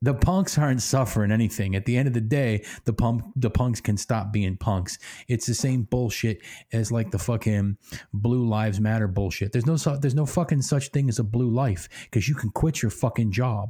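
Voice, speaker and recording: With an American accent, a man speaks at a moderate pace and medium pitch in a dark, mellow, somewhat breathy tone, with ordinary pitch variation and very even loudness, on a very clean recording with a silent background. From Pennsylvania. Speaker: podcast co-host. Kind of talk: casual chat.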